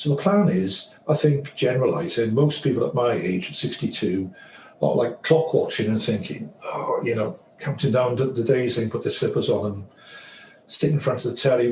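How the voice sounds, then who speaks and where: Over noticeable background noise, a man at medium pitch talks at a fairly quick pace with lively intonation. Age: 60s. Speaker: financial advisor. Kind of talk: interview.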